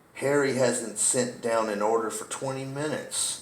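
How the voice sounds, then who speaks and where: A man in a put-on character voice at medium pitch. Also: moderate pace. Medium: read story. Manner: terse, guarded.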